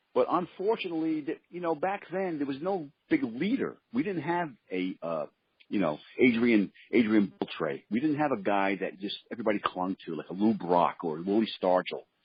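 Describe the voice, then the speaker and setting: With a New York accent, a man talks at a moderate pace in a fairly high pitch that swings very widely. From Brooklyn, New York City. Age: 60s. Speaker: former baseball pitcher. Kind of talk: interview.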